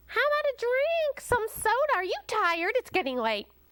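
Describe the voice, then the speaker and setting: A woman puts on a squeaky character voice, extremely high in pitch with very wide swings, at a moderate pace and very even loudness. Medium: read story. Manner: warm, motherly.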